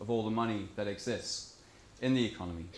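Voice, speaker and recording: Audible room echo surrounds the recording. A man's words come at a moderate pace. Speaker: conference speaker on monetary reform. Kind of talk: conference talk.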